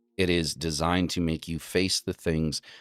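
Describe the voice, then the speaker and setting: A man's very deep, low voice with an American accent at a moderate pace, dry and close with no echo, over music in the background. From rural northeastern US. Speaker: occult livestream host. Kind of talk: talk lecture.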